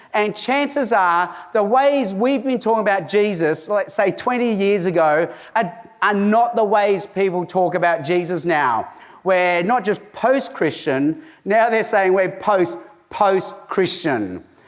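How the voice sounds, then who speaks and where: A man's high-pitched, fairly slow speech with lively intonation and very even loudness, over noticeable background noise. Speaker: evangelist and conference speaker. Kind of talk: conference talk.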